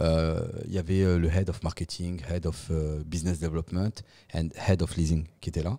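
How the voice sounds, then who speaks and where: In a very clean recording with a silent background, a man with a very deep, low pitch and a dark, mellow tone speaks at a moderate pace. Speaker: podcast guest, real estate professional. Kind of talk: casual interview chat. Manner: animated.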